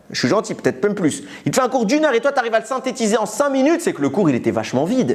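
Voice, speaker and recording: Very fast and animated, a man talks at an extremely high pitch. His intonation is lively. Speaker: Torah teacher. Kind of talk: religious lecture.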